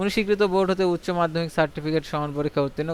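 A man with a fairly high pitch and fairly even intonation has a plain, everyday voice. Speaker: job news YouTuber. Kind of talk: reading aloud; tutorial.

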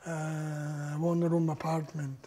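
Here a man speaks at a fairly high pitch. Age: 80s+. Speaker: Holocaust survivor. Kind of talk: oral history talk to an audience. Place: home room. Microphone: lapel.

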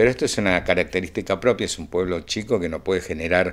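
A man with a very deep, low voice speaks at a very fast pace. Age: 60s. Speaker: percussionist; interviewee. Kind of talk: interview. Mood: warm, reflective. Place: home room. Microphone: handheld.

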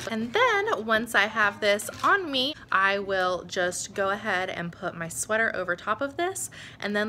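Light background noise around a woman talking. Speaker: stay-at-home mom vlogger. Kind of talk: casual vlog chat. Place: home room. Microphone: phone near.

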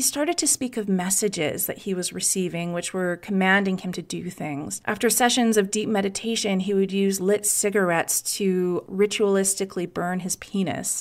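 Speaking in a normal speaking voice, a woman keeps a moderate pace with hardly any pauses and ordinary pitch variation. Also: medium pitch for a woman. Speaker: podcast host. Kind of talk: true-crime narration. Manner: conversational, wry, sarcastic asides; clear, measured storytelling pace.

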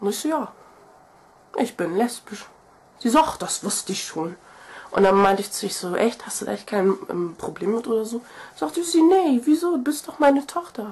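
Long, frequent pauses break up a woman's nervous, animated speech. Her pitch swings very widely and her loudness varies a lot. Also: moderate pace. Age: 20s. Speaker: video blogger. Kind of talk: casual vlog monologue. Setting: video to camera. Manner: nervous, chatty, animated.

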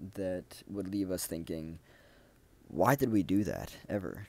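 This man talks at a fairly slow pace with a fairly low pitch, fairly even intonation and a dark, mellow tone, recorded dry with no echo. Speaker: self-development video creator. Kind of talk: solo monologue talk. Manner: halting, many fillers. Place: home room. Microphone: earbuds.

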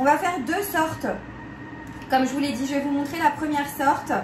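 There is noticeable background noise. A woman with a high pitch speaks at a moderate pace with ordinary pitch variation. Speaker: cooking YouTuber. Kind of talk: cooking tutorial. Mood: cheerful, enthusiastic.

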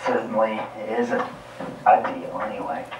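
A man talks amid light background noise, with audible room echo around his voice. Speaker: presenter. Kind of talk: commentary. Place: hall.

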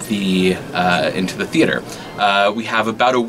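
Faint music plays behind a man speaking at a moderate pace. His fairly low voice holds a fairly even intonation. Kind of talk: interview answer. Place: stage.

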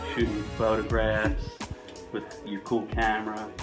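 Clear music plays in the background. A man with a very deep, low pitch talks at a moderate pace. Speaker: interviewee. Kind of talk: casual interview answer. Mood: relaxed, amused. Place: home room.

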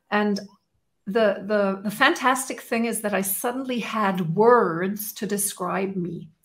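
Against a quiet background, a woman with a fairly high, somewhat breathy voice speaks at a very slow pace with ordinary pitch variation. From Germany. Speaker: strengths coach. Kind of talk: interview. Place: home room.

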